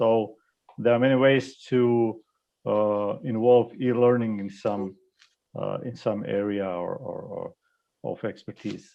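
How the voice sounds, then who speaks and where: With a Croatian accent, a man speaks at a very slow pace and medium pitch, his intonation fairly even, his loudness swinging widely and long pauses coming often. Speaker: e-learning expert. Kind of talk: panel discussion. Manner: halting, many fillers.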